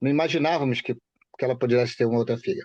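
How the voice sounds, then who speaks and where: The speech moves at a very fast pace with fairly even intonation. Behind it, the background is quiet. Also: man. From Rio de Janeiro state, Baixada Fluminense (Duque de Caxias). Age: 60s. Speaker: bereaved father. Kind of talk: interview.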